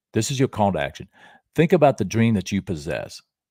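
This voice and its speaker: With vocal fry and a dark, mellow tone, this man speaks at a medium pitch with very wide pitch swings, recorded very cleanly against a silent background in a dry, close sound with no echo. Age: 60s. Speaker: motivational show host and Elvis tribute artist. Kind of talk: motivational talk on a live stream. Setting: live stream.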